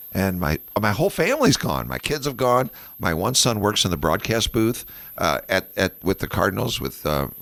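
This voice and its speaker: Recorded very cleanly against a silent background, the voice has vocal fry, a moderate pace and very wide pitch swings. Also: man, fairly low pitch for a man. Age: 60s. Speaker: radio host. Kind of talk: casual chat.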